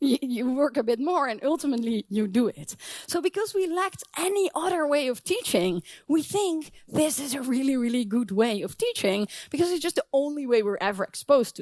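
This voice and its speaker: A fairly quick pace with a non-native accent. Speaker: professor. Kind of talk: conference talk.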